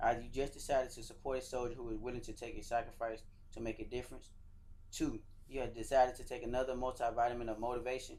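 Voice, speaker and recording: At a very fast pace, a man talks with fairly even intonation in a Georgia accent. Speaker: soldier and motivational speaker. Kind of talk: motivational speech.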